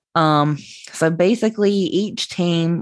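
In a very clean recording with a silent background, a woman speaks with a Southern US accent and ordinary pitch variation.

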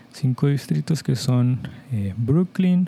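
In a Mexican accent, a dark, mellow tone moves at a very slow pace. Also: man. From Mexico. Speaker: podcast host, Spanish teacher. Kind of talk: slow educational monologue for Spanish learners. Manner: clear, deliberate pace for learners.

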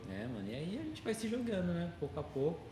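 A man talks at a very fast pace. Audible room echo and noticeable background noise are present. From Brazil. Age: 20s. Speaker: tattoo artist. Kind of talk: casual interview chat.

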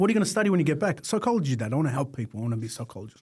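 A man with an Australian accent talks at a very fast pace, his fairly high, somewhat breathy voice dark and mellow in tone, with very wide pitch swings. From Melbourne, Australia. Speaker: fire industry business owner. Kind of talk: casual interview.

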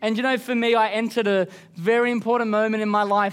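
With an Australian accent, a man talks in a high pitch, and the recording is very clean with a silent background. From Queensland, Australia. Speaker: pastor. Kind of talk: sermon. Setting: church service.

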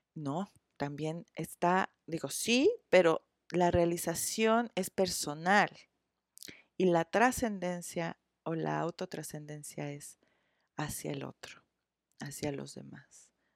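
On a very clean recording with a silent background and a dry, close sound with no echo, a woman with a fairly low pitch speaks at a very slow pace, her loudness swinging widely and her speech broken by long, frequent pauses. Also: ordinary pitch variation. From Mexico, Cuernavaca. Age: 40s. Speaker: psychotherapist. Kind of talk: interview. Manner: halting, many fillers and repetitions.

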